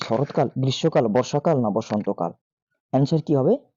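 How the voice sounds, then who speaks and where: Recorded with a dry, close sound, no echo and a quiet background, a man speaks in a dark, mellow tone with very wide pitch swings. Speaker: teacher. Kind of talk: tutorial.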